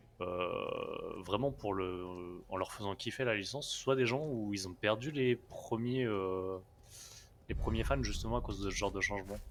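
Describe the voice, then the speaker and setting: The man's pitch moves up and down in an ordinary way. His delivery is fairly slow. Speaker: gaming streamer. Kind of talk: live gameplay commentary. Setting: live stream. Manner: soft-spoken, talking quietly.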